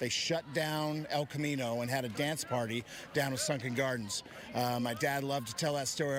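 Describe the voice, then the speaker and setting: A man speaks at a moderate pace, fairly high in pitch, with fairly even intonation. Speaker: football coach. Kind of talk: interview answer. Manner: casual, hesitant.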